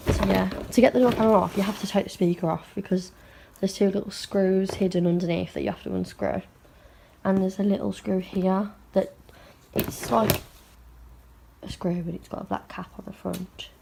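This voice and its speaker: With an English Midlands accent, a woman speaks at a moderate pace, her loudness swinging widely. She leaves long, frequent pauses. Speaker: automotive trimmer. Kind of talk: casual talk to camera.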